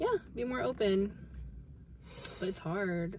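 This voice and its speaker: The voice moves through very wide pitch swings at a fairly slow pace. Noticeable background noise can be heard. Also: woman. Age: 20s. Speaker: podcast co-host, lawyer. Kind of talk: casual chat.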